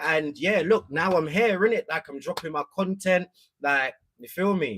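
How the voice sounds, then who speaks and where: A high-pitched man with a London accent and lively intonation. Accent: London multicultural English. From East London. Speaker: content creator. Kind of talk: casual livestream chat.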